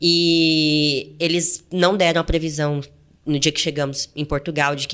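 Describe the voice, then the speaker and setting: In a Goiás accent, a woman with a very deep, low pitch speaks at a fairly slow pace on a very clean recording with a silent background. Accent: Goiás countryside. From interior of Goiás, Brazil. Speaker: travel podcast co-host. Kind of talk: casual chat.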